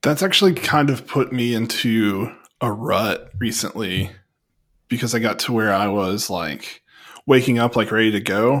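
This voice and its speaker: At a moderate pace, a man with a normal speaking voice speaks at a medium pitch with ordinary pitch variation. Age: 30s. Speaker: podcast host. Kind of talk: casual chat.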